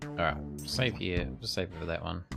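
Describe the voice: Clear music plays in the background while the voice shows vocal fry. The pace is moderate, with ordinary pitch variation. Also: man, low pitch for a man.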